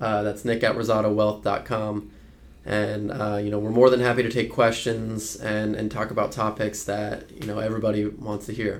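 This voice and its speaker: Over noticeable background noise, a man's fairly low voice keeps a moderate pace with monotone, flat intonation. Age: 20s. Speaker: financial advisor. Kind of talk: casual chat. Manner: halting, many fillers.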